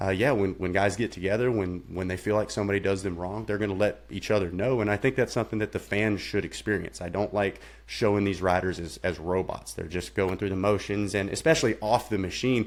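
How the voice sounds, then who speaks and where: A man with a plain, everyday voice and a fairly low pitch speaks at a fairly quick pace. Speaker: motorsports announcer. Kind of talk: podcast interview answer.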